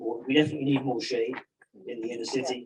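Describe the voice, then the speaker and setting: Talking at a fairly quick pace, a man with an English accent speaks at medium pitch. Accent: English accent, noticeable. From England. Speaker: resident giving public comment. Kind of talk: public comment at a community meeting.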